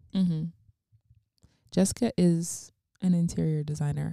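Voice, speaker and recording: Somewhat breathy and fairly low, a woman's voice has a dark, mellow tone and fairly even intonation. The sound is dry and close, with no echo. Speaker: podcast host. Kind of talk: casual chat. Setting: in the guest's living room. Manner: laughing often.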